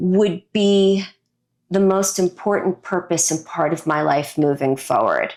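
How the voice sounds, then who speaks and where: Woman with an American accent, medium pitch and ordinary pitch variation, at a fairly slow pace with very even loudness. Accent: Brooklyn accent trained away. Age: 50s. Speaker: designer, speaker, former actress. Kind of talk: interview.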